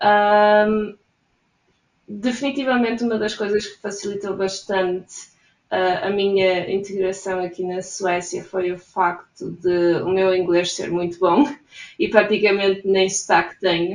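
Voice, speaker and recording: Speaking in a European Portuguese accent, a woman uses a medium pitch, fairly even intonation and a fairly slow pace. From Portugal. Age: 20s. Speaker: emigrant interviewee. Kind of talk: interview.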